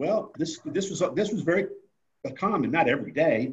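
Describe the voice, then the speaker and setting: A man speaks in a somewhat breathy voice with an American accent. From New Jersey. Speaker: author and foundation founder. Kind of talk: interview testimony.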